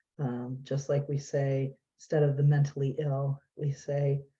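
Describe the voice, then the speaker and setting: A woman speaks with a very deep, low pitch, a dark, mellow tone and a somewhat breathy quality. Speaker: nonprofit executive director. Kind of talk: presentation. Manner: fast.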